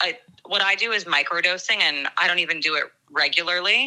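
A woman speaks at a moderate pace in a plain, everyday voice, her pitch sitting in the medium range. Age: 30s. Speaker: friend of the hosts. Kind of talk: casual chat. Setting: phone call.

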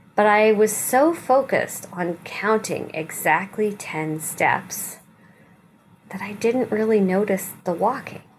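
Noticeable background noise sits behind a woman speaking at a very slow pace. Her medium-pitched voice has a warm tone and ordinary pitch variation. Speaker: rabbi leading weekly meditation. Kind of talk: guided meditation with gentle spiritual teaching. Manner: slow, soothing, softly inviting instructions; warm, reassuring and non-judgmental.

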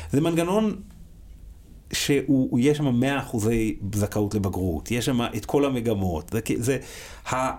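A man's medium-pitched voice at a fairly slow pace, with lively intonation and long, frequent pauses. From Israel, religious Zionist family. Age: 40s. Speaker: school principal. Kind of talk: casual interview.

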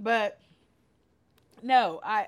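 An animated tone comes through in an American accent. The recording is very clean, with a silent background. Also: woman. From California. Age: 40s. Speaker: podcast host, event planner. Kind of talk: casual chat. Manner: animated, laughs often.

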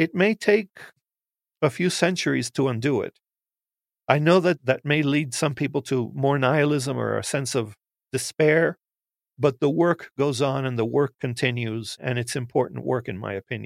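Moderate pace and medium pitch from a man with an ordinary speaking voice. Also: ordinary pitch variation, dry, close sound with no echo. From United States, Cuban-American family. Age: 60s. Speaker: professor. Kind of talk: interview.

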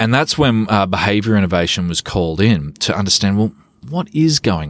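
This man talks at a moderate pace with a fairly low pitch, in an Australian accent. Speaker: behavioural economist and consultant. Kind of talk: interview.

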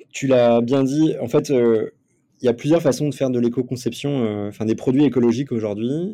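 A man's medium-pitched voice, dark and mellow in tone, moves at a moderate pace with ordinary pitch variation. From France, Nantes. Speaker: company co-founder, former elite athlete. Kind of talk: interview. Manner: hesitant, many fillers.

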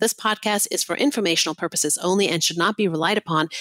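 Very fast speech from a woman, pitched in the medium range. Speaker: investment podcast co-host. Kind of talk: podcast interview.

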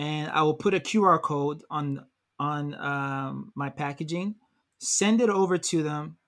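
Over a very clean recording with a silent background, a plain, everyday voice moves at a fairly slow pace with ordinary pitch variation. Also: man, fairly high pitch for a man. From Nigeria (Lagos), then Canada from age ten. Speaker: multidisciplinary artist and designer. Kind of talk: interview conversation.

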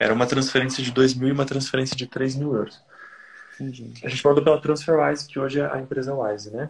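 Talking at a very fast pace, a man with a medium pitch sounds somewhat breathy and keeps a monotone, flat intonation. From Brazil. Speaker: caller seeking business advice. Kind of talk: advice call.

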